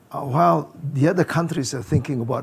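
A man is speaking at a fairly quick pace. His voice is somewhat breathy. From Indonesia. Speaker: business founder and chairman; panelist. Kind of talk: panel discussion. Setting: stage with audience. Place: hall. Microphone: lapel.

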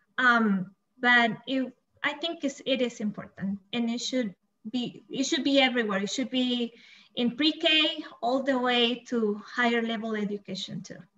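A woman with a Spanish accent speaks high and at a fairly slow pace, with ordinary pitch variation. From El Salvador. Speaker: bilingual coordinator and teacher. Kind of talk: panel discussion.

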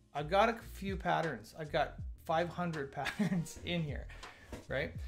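A man at a moderate pace over clear music in the background. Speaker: developer streamer. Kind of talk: live coding commentary. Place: home room.

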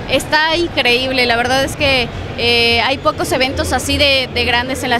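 Her voice raised and projected, a woman speaks at a high pitch with a fairly slow pace and fairly even intonation, in a dry sound with no echo over noticeable background noise. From Mexico. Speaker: voice actor. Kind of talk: interview answer. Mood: cheerful, smiling. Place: hall. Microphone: handheld.

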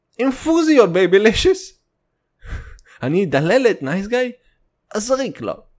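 Over a very clean recording with a silent background, the speaker goes at a fairly slow pace with long, frequent pauses, an animated tone and very wide pitch swings. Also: man, high pitch for a man. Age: 20s. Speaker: comedy podcaster. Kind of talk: comedic monologue.

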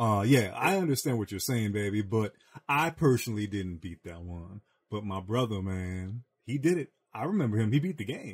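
Somewhat breathy, a man with a fairly low pitch talks at a moderate pace with lively intonation. The recording is very clean and the background silent. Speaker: podcast host. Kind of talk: casual chat. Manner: animated.

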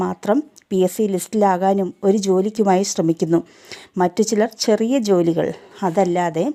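A woman's medium-pitched voice with a dark, mellow tone and fairly even intonation, in a dry, close sound with no echo. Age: 40s. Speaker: direct selling distributor. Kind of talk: sales pitch.

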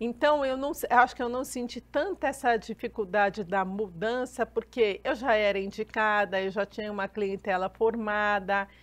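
Hardly any pauses break the moderate-paced speech, whose pitch varies in an ordinary way. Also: woman, fairly high pitch for a woman. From Brazil, São Paulo city. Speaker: labor lawyer. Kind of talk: TV interview. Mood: earnest, critical of legal ruling. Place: studio.

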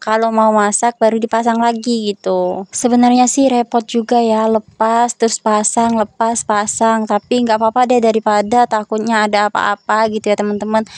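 A woman with a fairly high pitch speaks at a fairly quick pace with hardly any pauses, very even loudness and monotone, flat intonation, in a dry, close sound with no echo. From South Sumatra, Ogan Ilir. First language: regional language of South Sumatra (speaking Indonesian). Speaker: vlogger and housewife. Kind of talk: voice-over narration of a daily vlog. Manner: casual and chatty.

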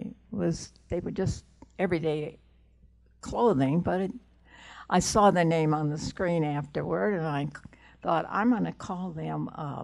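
Against a quiet background, a woman with a very deep, low pitch and a dark, mellow tone speaks at a fairly slow pace. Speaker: costume designer; guest. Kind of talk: interview before a live audience. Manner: halting. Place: meeting room. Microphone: handheld.

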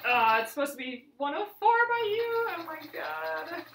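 A woman speaks high in pitch at a moderate pace, with big pitch swings, a fairly bright tone and vocal fry. Audible room echo surrounds her voice.

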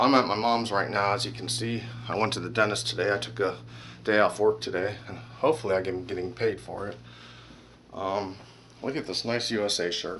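A man with a fairly low pitch and fairly even intonation talks at a moderate pace, leaving long, frequent pauses, over light background noise. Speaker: vlogger. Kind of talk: casual vlog chat. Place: home room. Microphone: phone near.

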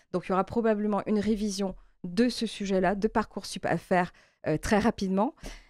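A woman speaks with fairly even intonation and very even loudness, in a dry sound with no echo over a quiet background. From Martinique. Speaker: member of parliament, election candidate. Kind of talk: interview. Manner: halting, frequent hesitations. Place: studio.

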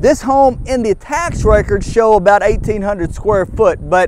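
A man speaks at a fairly slow pace, the sound dry with no echo and noticeable background noise. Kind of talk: property tour presentation. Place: open country. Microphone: lapel.

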